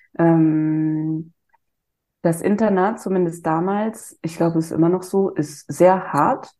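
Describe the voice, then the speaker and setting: The voice has a dark, mellow tone and fairly even intonation. It moves at a very slow pace. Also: woman, fairly low pitch for a woman. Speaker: psychiatrist. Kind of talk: interview.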